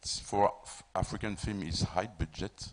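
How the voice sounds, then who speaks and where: At a fairly slow pace, a man with a French accent speaks in a fairly low pitch. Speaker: film producer. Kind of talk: panel discussion. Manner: halting, repeats words.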